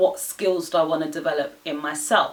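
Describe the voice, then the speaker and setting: Over noticeable background noise, a woman with a fairly low pitch talks at a moderate pace with lively intonation. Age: 20s. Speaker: lifestyle vlogger. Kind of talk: casual vlog monologue.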